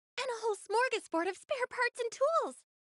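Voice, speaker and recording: Putting on a squeaky character voice at an extremely high pitch, a woman talks at a fairly quick pace in an upbeat, confident tone, the sound dry and close with no echo. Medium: video game.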